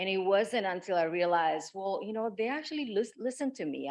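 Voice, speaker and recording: With a non-native accent, a woman speaks at a fairly quick pace in a medium pitch, her intonation lively. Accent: foreign. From outside the US. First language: not English. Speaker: pharmaceutical scientist. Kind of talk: panel discussion.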